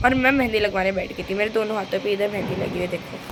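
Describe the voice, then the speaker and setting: Fairly even intonation in very fast speech, with noticeable noise behind it. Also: woman. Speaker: vlogger. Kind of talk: casual vlog narration. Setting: balcony.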